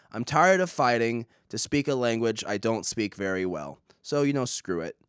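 On a very clean recording with a silent background, a man with an American accent and an unremarkable speaking voice talks at a fairly quick pace with lively intonation. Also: dry, close sound with no echo. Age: 20s. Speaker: podcast host. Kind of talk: solo monologue, casual rambling.

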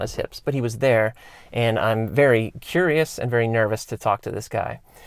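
An ordinary speaking voice, a man of medium pitch talks with an American accent and ordinary pitch variation on a very clean recording with a silent background. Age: 30s. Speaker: podcast host, former pro BMX rider. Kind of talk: solo podcast monologue. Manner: casual, many fillers.

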